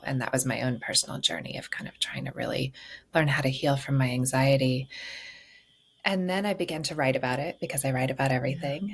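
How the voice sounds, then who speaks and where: A woman speaks very fast. Her voice is very deep and low, and somewhat breathy. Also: ordinary pitch variation. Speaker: grief therapist and author. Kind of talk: podcast interview answer.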